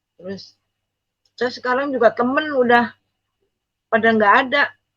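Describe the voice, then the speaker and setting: A woman speaks in a high voice with a bright, sharp tone. Her intonation stays fairly even. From East Java, Indonesia. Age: 60s. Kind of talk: testimony. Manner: casual, halting.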